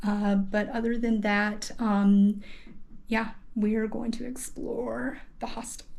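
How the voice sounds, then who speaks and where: Somewhat breathy and fairly high-pitched, a woman speaks at a very slow pace with audible room echo. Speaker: travel vlogger. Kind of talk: casual hostel tour vlog. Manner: hesitant, many fillers; speaking quietly in bathroom.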